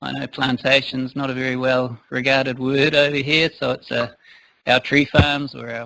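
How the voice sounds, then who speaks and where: A man with a New Zealand accent talks at medium pitch in a bright, sharp tone. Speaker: forestry consultant. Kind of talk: conference talk. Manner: hesitant, many fillers. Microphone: too quiet for the back of the room.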